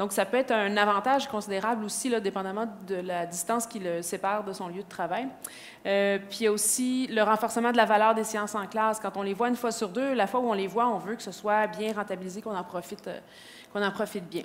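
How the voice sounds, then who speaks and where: Speaking at a fairly quick pace, a woman keeps a medium pitch and fairly even intonation. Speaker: educational innovation advisor. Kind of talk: conference presentation. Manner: fast.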